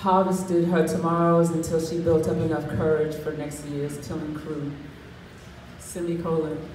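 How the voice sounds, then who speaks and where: Over noticeable background noise, a woman speaks at a moderate pace with a very deep, low pitch and monotone, flat intonation. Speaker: spoken word poet. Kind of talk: poetry reading. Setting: live stage, open mic.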